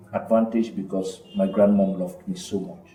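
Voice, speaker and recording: A man speaks with very wide pitch swings. Audible room echo and noticeable background noise are present. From northwest Cameroon. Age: 40s. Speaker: film director. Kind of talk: interview conversation.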